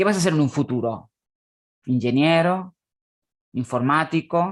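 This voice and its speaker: The background stays quiet. The words come out very slowly. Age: 30s. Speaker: conference speaker, academic. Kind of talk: conference presentation. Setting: online conference.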